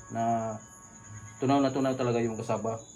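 Over noticeable background noise and audible room echo, a man speaks fairly quickly in a flat, monotone way at medium pitch. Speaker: video blogger making homemade ice cream. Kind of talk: cooking tutorial. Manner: casual, chatty.

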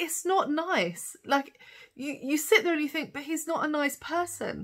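A woman speaks at a high pitch and a fairly slow pace. Her intonation is lively.

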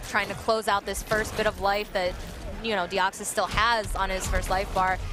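A man with a high pitch projects a raised voice at a moderate pace. The sound is dry with no echo, though background noise is noticeable. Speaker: esports fighting game commentator. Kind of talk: live esports match commentary. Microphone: headset.

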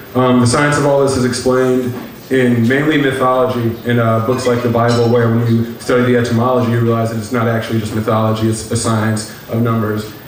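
A man at a fairly quick pace with hardly any pauses, very even loudness and monotone, flat intonation, plus audible room echo and light background noise. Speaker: lecture presenter. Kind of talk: lecture. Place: hall.

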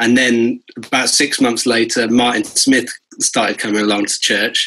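A man speaks in a southern English accent at a moderate pace, his tone bright and sharp. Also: quiet background. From Bristol, England; England. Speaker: guitarist and music producer; guest. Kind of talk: casual interview chat. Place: home room. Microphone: video call.

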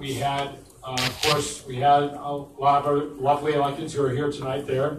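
A man talking at a fairly quick pace, with audible room echo and light background noise. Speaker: community board chair. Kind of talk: public meeting. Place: hall.

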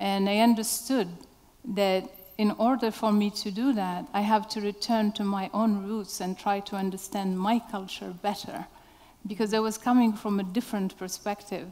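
A woman's medium-pitched, dark, mellow tone in a monotone, flat intonation at a moderate pace. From Morocco. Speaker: artist; speaker. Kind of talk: panel discussion. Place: stage. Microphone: headset.

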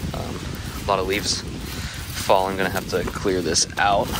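A man speaks at a moderate pace in a dry sound with no echo, with noticeable background noise behind him. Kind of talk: casual vlog chat. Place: forest. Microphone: phone near.

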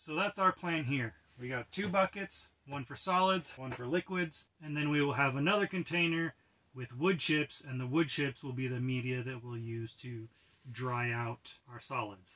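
A bright, sharp tone at a moderate pace with ordinary pitch variation. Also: man. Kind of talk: tutorial. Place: tent.

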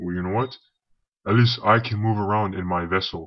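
A man speaks at a moderate pace. His pitch is fairly low. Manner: smug, condescending.

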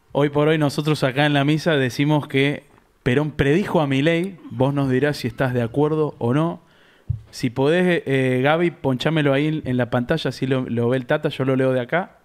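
Against a quiet background, a man with a normal speaking voice and fairly high pitch talks at a moderate pace, with very even loudness and fairly even intonation. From Argentina. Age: 30s. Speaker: podcast host. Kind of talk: interview. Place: studio. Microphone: studio mic.

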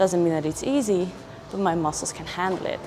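A woman is speaking. Noticeable background noise runs through the clip. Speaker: fitness vlogger. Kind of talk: casual vlog chat. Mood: calm, reflective. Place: gym.

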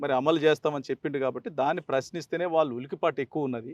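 In a normal speaking voice, a man talks with fairly even intonation, the sound dry and close with no echo and the background quiet. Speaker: politician, former state legislator. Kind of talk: news interview.

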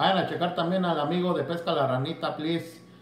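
Audible room echo and light background noise accompany a man's voice. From Mexico. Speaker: fishing YouTuber; fishing channel host. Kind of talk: bilingual live stream, casual chat. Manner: switches between Spanish and English. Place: home room. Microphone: phone near.

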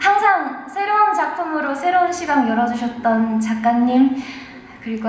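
A woman's high pitch and lively intonation at a very slow pace, with noticeable background noise. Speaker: voice actor. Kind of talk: award acceptance speech.

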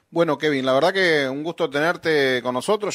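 A man talks at a moderate pace. Behind him the background is quiet. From Entre Ríos, Argentina. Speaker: radio host. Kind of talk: radio interview. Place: studio.

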